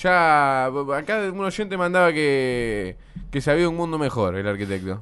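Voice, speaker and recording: A man's voice with very wide pitch swings. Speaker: radio host. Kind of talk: casual chat.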